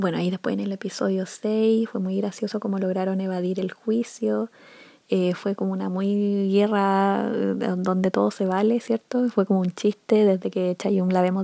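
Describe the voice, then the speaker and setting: At a moderate pace, a woman speaks in a medium pitch with a dark, mellow tone. Her intonation is flat and monotone, and the sound is dry and close with no echo. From Chile. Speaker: podcaster reviewing Korean dramas. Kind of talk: casual solo monologue. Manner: hesitant with many fillers.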